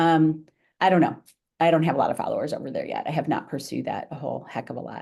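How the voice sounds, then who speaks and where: A woman talks at a very fast pace, her loudness swinging widely. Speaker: author giving marketing talk. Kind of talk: webinar presentation and Q&A.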